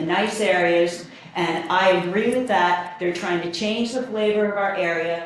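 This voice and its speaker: Speaking at a fairly slow pace with fairly even intonation, a woman with a fairly low pitch and an American accent is heard amid noticeable background noise and audible room echo. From New Jersey (Bernardsville). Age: 60s. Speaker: resident giving public comment. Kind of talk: public comment at planning board hearing.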